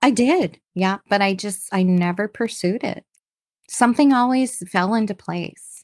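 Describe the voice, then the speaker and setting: In a very clean recording with a silent background and a dry, close sound with no echo, a woman of medium pitch talks in a plain, everyday voice. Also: ordinary pitch variation. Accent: Canadian. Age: 50s. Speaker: entrepreneur. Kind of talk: interview.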